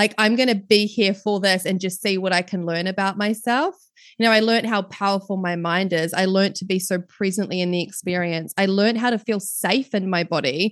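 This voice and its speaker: A woman with a New Zealand accent, medium pitch, warm tone and fairly even intonation, fairly quick with hardly any pauses, over a quiet background. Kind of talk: casual interview chat. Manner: warm, laughs often.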